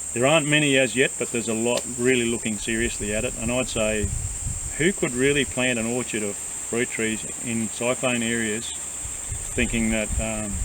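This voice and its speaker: A man with an Australian accent speaks at a medium pitch and a moderate pace with fairly even intonation. Room echo and noticeable background noise can be heard. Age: 60s. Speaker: farmer. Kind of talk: casual chat.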